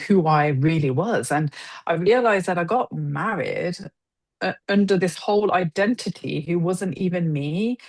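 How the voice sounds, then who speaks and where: With an English Midlands accent, a woman speaks in a fairly low voice with ordinary pitch variation. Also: moderate pace. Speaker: mother sharing her story. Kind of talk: interview testimony.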